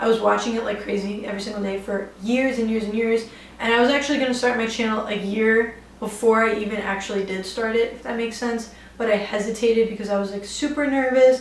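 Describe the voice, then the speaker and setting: A woman with an American accent speaks very fast in a fairly high, monotone, flat voice, with noticeable background noise and audible room echo. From New York City (Bronx). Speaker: beauty YouTuber. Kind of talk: casual Q&A vlog. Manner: chatty, many fillers like 'like' and 'um'.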